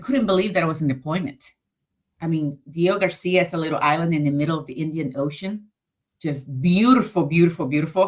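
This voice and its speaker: Talking very fast with a Spanish accent, a woman has a fairly low voice and ordinary pitch variation. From Colombia. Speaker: navy veteran. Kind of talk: interview.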